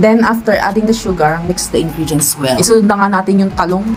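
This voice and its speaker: Music plays in the background as a woman talks at a fairly quick pace in a fairly low pitch. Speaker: cooking vlogger. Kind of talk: voice-over cooking tutorial. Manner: chatty, playful.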